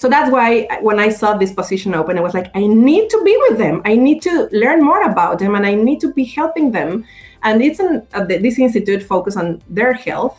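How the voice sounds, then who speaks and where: A woman with a Spanish accent, fairly high pitch and lively intonation, with hardly any pauses. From Mexico. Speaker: communications professional and radio creator. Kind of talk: podcast interview. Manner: animated, halting with fillers.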